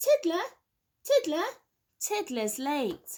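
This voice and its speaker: Putting on a character voice, a woman squeaks at an extremely high pitch with very wide pitch swings. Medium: read story. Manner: sing-song, schoolteacherly.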